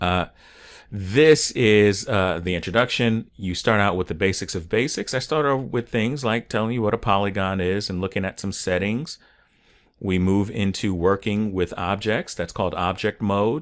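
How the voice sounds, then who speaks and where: Recorded very cleanly against a silent background, a man with an unremarkable speaking voice talks at a moderate pace and a fairly low pitch with ordinary pitch variation. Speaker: online 3D course instructor. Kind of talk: tutorial. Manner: casual, with filler words.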